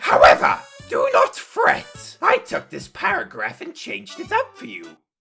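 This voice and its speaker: Someone uses a put-on character voice at a moderate pace with faint music in the background. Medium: solo performance. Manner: florid, theatrical, pompous.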